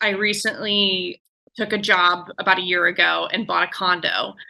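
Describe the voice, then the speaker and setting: This is an unremarkable speaking voice. Its speed is moderate. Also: woman. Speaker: caller seeking advice.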